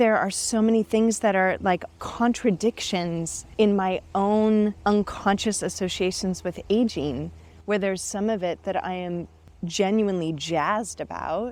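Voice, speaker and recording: With an unremarkable speaking voice, a woman talks at a fairly slow pace, using a medium pitch and ordinary pitch variation. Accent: American. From United States. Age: 40s. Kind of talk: interview answer.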